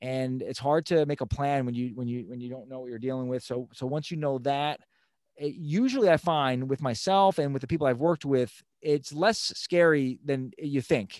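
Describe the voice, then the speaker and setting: With an American accent, a man uses a plain, everyday voice at a fairly high pitch, moderate pace, ordinary pitch variation and big swings in loudness. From Long Island, New York. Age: 40s. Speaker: fitness professional and financial coach. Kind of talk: casual interview.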